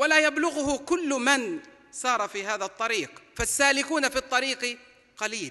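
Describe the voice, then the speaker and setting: Against a quiet background, a raised, projected voice moves at a fairly slow pace with ordinary pitch variation. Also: man, extremely high pitch for a man. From Palestine. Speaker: preacher. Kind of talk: sermon. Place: hall. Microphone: podium.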